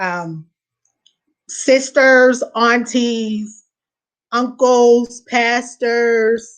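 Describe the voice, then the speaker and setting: A woman speaks at a high pitch. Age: 30s. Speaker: guest sharing health testimony. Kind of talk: testimony. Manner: hesitant, many fillers.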